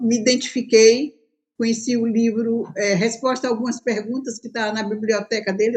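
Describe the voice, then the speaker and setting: High-pitched female speech at an average tempo, intonation fairly level. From Brazil, Bahia. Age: 70s. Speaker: religious pioneer. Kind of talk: interview testimony.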